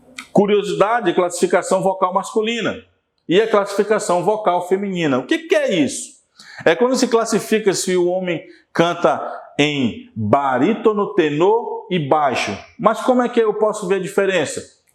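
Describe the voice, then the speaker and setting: At a moderate pace, a man talks at a high pitch with lively intonation. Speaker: teacher. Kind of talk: lecture.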